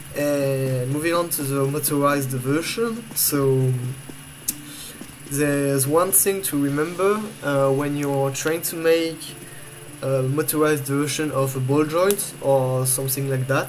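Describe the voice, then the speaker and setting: Over music in the background, someone with a French accent talks at a fairly slow pace. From France. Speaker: video game tutorial maker. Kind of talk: game tutorial voice-over. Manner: hesitant, many fillers.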